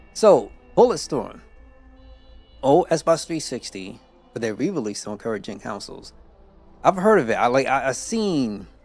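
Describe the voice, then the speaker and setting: Moderate pace and very wide pitch swings, with music in the background. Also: man. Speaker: gaming streamer. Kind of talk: casual live stream chat. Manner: soft-spoken.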